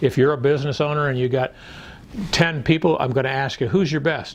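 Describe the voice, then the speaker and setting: A man's fairly high, somewhat breathy voice at a moderate pace. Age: 70s. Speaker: business coach and sales trainer. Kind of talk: promotional video pitch; webinar presentation.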